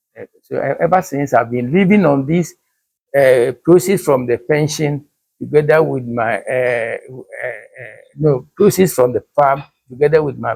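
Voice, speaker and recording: A man speaks at a fairly slow pace in a fairly high, somewhat breathy voice with lively intonation. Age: 80s+. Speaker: retired banker and farmer. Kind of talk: interview answer. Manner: hesitant, halting.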